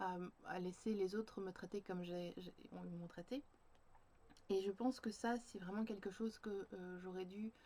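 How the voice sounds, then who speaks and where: Speaking fairly slowly with long, frequent pauses, a woman uses a medium pitch, a dark, mellow tone and fairly even intonation. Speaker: creative journaling coach and vlogger. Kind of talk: personal video diary reflection. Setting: home, sitting on the floor by a bookshelf facing a window. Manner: halting, many hesitations.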